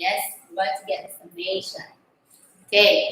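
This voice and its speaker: A woman's raised, projected voice with audible room echo. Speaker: math teacher. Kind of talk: online lesson. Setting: online class.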